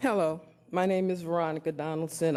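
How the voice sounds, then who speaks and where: On a very clean recording with a silent background, a woman with an American accent talks at a moderate pace in a monotone, flat intonation. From Elkhart, Indiana, US Midwest. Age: 60s. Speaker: resident speaking at public comment. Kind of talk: public comment at council meeting.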